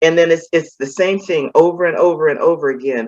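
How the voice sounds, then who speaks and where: Using a plain, everyday voice, a woman speaks at a fairly quick pace with a fairly low pitch and ordinary pitch variation. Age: 60s. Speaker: former pastor's wife, retiree. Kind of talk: interview, personal testimony. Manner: casual, conversational with many fillers.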